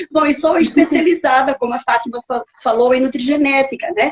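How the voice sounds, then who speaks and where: Speaking with a Portuguese accent, a woman talks at a moderate pace in a high voice. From Portugal. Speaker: nutrigenetics specialist, author, speaker. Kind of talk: lecture. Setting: live stream video call.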